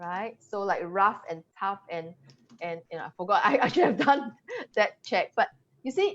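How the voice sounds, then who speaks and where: In a Singaporean accent, a woman speaks at a moderate pace against a quiet background. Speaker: English language coach. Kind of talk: webinar presentation. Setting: live video webinar.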